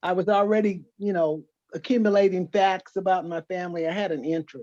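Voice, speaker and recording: A woman of medium pitch talks at a fairly quick pace with an American accent. Her tone is dark and mellow, and her intonation is fairly even. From California (Los Angeles, San Joaquin Valley). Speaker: genealogy group member. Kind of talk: self-introduction in video call. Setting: video call.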